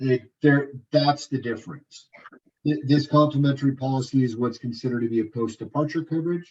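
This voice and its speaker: Somewhat breathy man's voice, fairly high in pitch. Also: fairly even intonation, fairly quick pace. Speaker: tour presenter at informational meeting. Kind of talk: informational presentation. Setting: meeting room with audience. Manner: halting, many repetitions.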